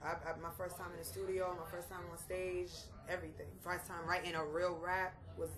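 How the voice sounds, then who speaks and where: A woman talks at a fairly quick pace with big swings in loudness, amid audible room echo and noticeable background noise. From Boston, grew up after immigrating from Haiti. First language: Haitian Creole or French. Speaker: rapper. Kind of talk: interview. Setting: hip-hop festival.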